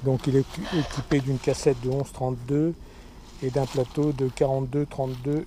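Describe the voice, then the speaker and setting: A man with a medium pitch and fairly even intonation talks at a moderate pace, pausing long and often. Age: 60s. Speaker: amateur cyclist vlogger. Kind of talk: casual show-and-tell video. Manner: hesitant, many fillers.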